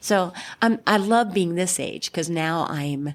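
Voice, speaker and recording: In a very clean recording with a silent background, a woman with an unremarkable speaking voice talks fairly slowly at a fairly low pitch with ordinary pitch variation. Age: 60s. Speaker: singer-songwriter. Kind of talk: interview conversation.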